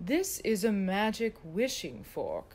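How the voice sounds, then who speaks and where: This woman uses a put-on character voice. It sits at a fairly high pitch and moves at a fairly slow pace. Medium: read story. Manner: oracular, unhurried.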